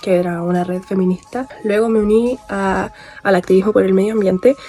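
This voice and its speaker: Music plays behind a woman speaking at a medium pitch. Her pace is moderate and her intonation fairly even. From Chile, Santiago area. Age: 20s. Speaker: journalism student, animal rights activist. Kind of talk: documentary interview testimony.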